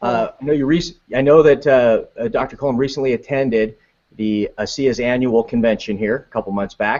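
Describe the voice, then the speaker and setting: At a moderate pace, this is a plain, everyday voice. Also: man. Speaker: web show host. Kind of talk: online talk show hosting.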